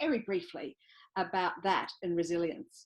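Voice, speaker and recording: Speaking in an Australian accent, this woman keeps to a moderate pace. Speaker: psychologist and business owner. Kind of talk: presentation.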